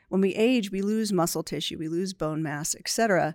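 This is a normal speaking voice with an American accent, moving at a fairly quick pace. The recording is very clean, with a silent background. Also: woman, dry, close sound with no echo. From New Jersey. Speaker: research center director. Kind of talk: podcast interview.

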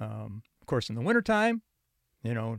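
Heard with a Chicago accent, the voice is dry and close with no echo in a very clean recording with a silent background. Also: man. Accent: US Midwestern (Chicago area). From Chicago area and northern Indiana. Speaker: retired psychology professor. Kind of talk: interview conversation.

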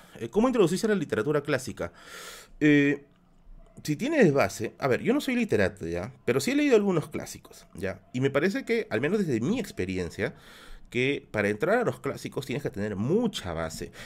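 This man talks at a fairly quick pace with a fairly high pitch, vocal fry, and very wide pitch swings. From Peru, Lima (Villa El Salvador). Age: 30s. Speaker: YouTube streamer. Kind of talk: live stream Q&A with chat.

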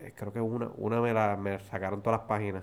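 At a moderate pace, a man speaks in a fairly low, plain, everyday voice. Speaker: podcast co-host. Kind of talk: casual chat.

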